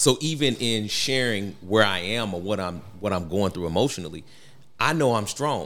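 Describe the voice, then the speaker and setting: This man has a normal speaking voice, fairly low in pitch, with lively intonation. He keeps a moderate pace. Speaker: guest. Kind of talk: casual chat.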